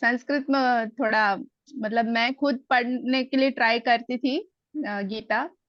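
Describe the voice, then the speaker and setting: She speaks at a high pitch. The woman has a slight Hyderabadi accent. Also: fairly even intonation. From Telugu-speaking, schooled in Delhi. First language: Telugu (speaking Hindi). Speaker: Gita class student. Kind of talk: testimony.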